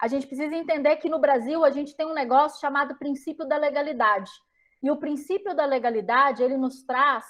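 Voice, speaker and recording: Her voice is high-pitched. Her pitch varies in an ordinary way. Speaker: lecturer on smart cities, geographer and consultant. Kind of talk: lecture. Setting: talk to a live audience.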